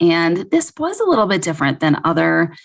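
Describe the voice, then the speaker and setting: This woman has a Midwestern accent and a fairly low pitch, speaking at a moderate pace. The recording is very clean, with a silent background. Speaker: podcast co-host, fertility physician. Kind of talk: podcast discussion.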